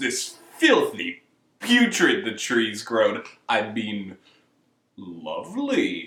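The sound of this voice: A man in a put-on character voice, very slow, with long, frequent pauses.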